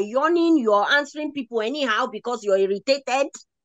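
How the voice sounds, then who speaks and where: In an animated tone with an American accent, a woman talks at a fairly quick pace with a high pitch and very wide pitch swings, in a dry, close sound with no echo. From United States. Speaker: leadership speaker and mentor. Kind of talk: motivational talk answering audience questions.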